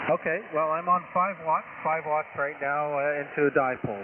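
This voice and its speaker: A man talks at a fairly quick pace with a fairly high pitch. Noticeable background noise can be heard. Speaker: amateur radio operator. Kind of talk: ham radio contact. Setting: radio transmission.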